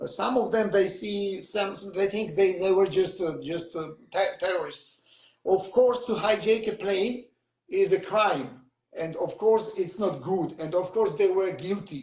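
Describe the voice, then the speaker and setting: Speaking at a fairly slow pace, a man with a Georgian accent uses a high pitch and ordinary pitch variation. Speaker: author. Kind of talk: interview. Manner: halting.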